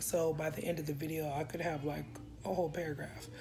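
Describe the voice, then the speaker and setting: A woman's very deep, low voice over light background noise. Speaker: vlogger. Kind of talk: casual vlog chat. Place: home room. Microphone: phone near.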